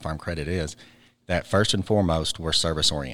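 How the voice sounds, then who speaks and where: The recording is very clean with a silent background. A man speaks in a very deep, low pitch with an Arkansas accent. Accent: Southern US (Arkansas). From Arkansas (Ozark). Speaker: cooperative board director and bank CEO. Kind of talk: interview.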